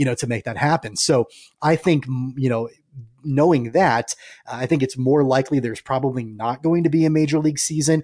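A man's fairly high voice, an ordinary speaking voice at a fairly quick pace, with fairly even intonation and a dry, close sound with no echo. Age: 30s. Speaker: sports podcast host. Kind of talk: casual sports podcast chat.

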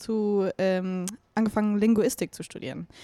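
On a very clean recording with a silent background and a dry, close sound with no echo, a woman speaks at a moderate pace. Her voice is medium in pitch and dark and mellow, with fairly even intonation. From Bavaria, Chiemsee and Munich. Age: 20s. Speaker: singer-songwriter. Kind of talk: casual interview chat.

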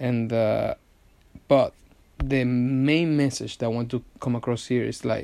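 Speaking with a Venezuelan accent, a man with a dark, mellow tone keeps a medium pitch, a fairly slow pace and fairly even intonation on a very clean recording with a silent background. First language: Spanish. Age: 20s. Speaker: podcast host, advertising agency owner. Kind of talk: solo podcast monologue. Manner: halting, many fillers and restarts.

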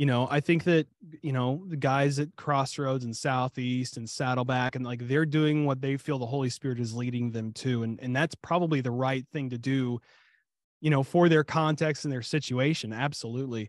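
In a normal speaking voice, a man talks at a moderate pace and medium pitch, with fairly even intonation and a dry, close sound that has no echo. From Ohio, US Midwest. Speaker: pastor. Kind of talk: casual chat.

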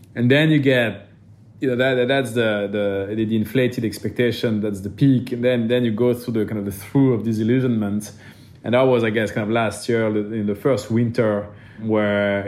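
A man with a French accent, fairly low-pitched and monotone, flat in intonation, at a moderate pace amid audible room echo. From France. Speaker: venture capital investor. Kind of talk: interview.

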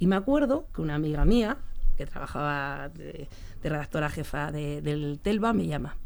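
Audible room echo around a woman's moderately paced speech. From Spain, Leganés (Madrid). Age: 50s. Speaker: sports journalist. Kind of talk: interview.

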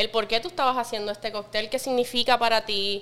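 A woman's bright, sharp voice sits fairly high, its intonation fairly even. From Puerto Rico, west (Lajas, Cabo Rojo). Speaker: bartender, mixologist. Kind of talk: casual chat.

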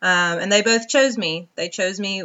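A woman with an American accent, ordinary pitch variation and a moderate pace. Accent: Southern US, Georgia, comes out now and then. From US South, northwest Georgia. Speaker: podcast host, wellness coach. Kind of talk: personal monologue. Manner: casual, with frequent ums.

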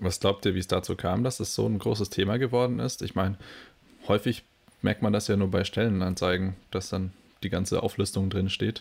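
A man talks at a fairly quick pace in a fairly low pitch with fairly even intonation. It is a plain, everyday voice. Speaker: podcast co-host. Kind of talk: casual chat.

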